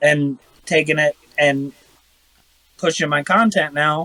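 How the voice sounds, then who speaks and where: A man with a Midwestern American accent speaks at a fairly slow pace in a fairly high pitch, his bright, sharp tone caught in a dry, close recording with no echo. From Ohio. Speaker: airsoft YouTuber. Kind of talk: casual chat.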